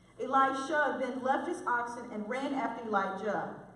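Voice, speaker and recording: A woman speaks with an American accent and a lively, varied intonation. The room echo is audible, and background noise is noticeable. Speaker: lay preacher. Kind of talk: sermon. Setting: church.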